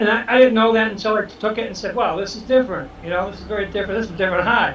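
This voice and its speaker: A man's high-pitched voice with a Boston accent at a very fast pace, fairly even in intonation, with audible room echo and noticeable background noise. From Boston, Dorchester (Massachusetts). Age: 60s. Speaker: social media influencer. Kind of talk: casual interview.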